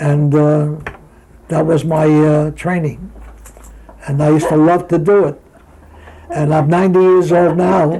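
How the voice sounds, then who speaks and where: Fairly slow and with long, frequent pauses, the speech comes in a New York accent with fairly even intonation. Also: man, fairly high pitch for a man. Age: 80s+. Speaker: retired boxer. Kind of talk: interview. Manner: halting.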